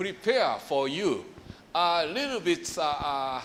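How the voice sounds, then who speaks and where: Audible room echo surrounds a man with a Japanese accent whose pitch swings very wide. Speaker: professor. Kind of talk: lecture. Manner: halting.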